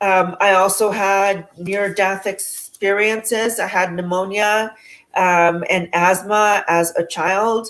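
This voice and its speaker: A woman speaks very slowly with a Spanish accent. Her medium-pitched voice stays monotone and flat, at very even loudness. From San Francisco, US West Coast, Salvadoran family. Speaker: spiritual speaker. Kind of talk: interview testimony. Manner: halting, many 'um' fillers.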